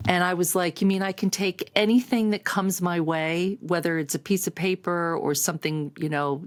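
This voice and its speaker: A woman with an unremarkable speaking voice and a fairly low pitch speaks with ordinary pitch variation. The recording is very clean, with a silent background. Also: dry, close sound with no echo. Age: 60s. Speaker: productivity coach. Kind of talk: personal testimony to camera. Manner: conversational, filler-heavy.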